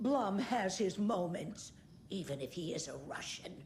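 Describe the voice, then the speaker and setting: Against clear background noise, a woman does a put-on character voice at a medium pitch. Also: moderate pace, lively intonation. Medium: video game. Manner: tart, gossipy.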